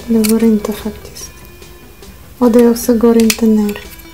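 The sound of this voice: A woman speaks at a fairly high pitch with a dark, mellow tone. Her pitch moves little, and faint music plays in the background.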